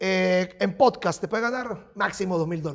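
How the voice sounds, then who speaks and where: The speaker talks at a fairly quick pace with lively intonation against a quiet background. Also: man. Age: 50s. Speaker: psychic and spiritual adviser; interview guest. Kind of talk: casual interview chat. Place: studio.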